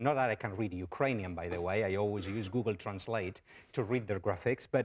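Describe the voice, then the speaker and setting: A strong Spanish accent at a fairly quick pace with ordinary pitch variation, on a very clean recording with a silent background. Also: man. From Spain. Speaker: professor. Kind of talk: lecture.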